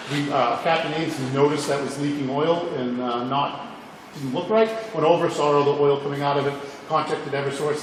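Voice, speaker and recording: Against noticeable background noise and audible room echo, a man talks at a fairly quick pace with fairly high pitch and fairly even intonation. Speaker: fire chief. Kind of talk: public meeting report. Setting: fire station meeting room. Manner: fast.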